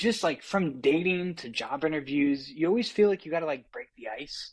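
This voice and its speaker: With lively intonation and a high pitch, a man speaks at a moderate pace. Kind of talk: casual interview. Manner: halting.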